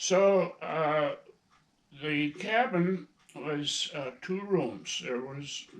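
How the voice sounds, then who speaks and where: With a Minnesota accent, a man speaks with ordinary pitch variation. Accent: Upper Midwest, Minnesota. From northern Minnesota, Iron Range. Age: 80s+. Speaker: grandfather and hunter. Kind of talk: casual interview, storytelling. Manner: halting, with fillers.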